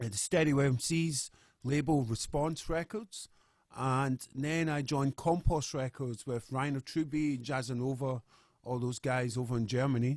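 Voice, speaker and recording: This man has a medium-pitched voice with a Scottish accent, speaking at a moderate pace with ordinary pitch variation. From Scotland, Glasgow. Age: 40s. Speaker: musician. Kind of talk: interview.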